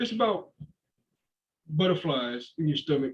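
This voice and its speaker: A man's fairly high-pitched voice. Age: 30s. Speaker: podcast guest. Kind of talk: casual chat. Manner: fast.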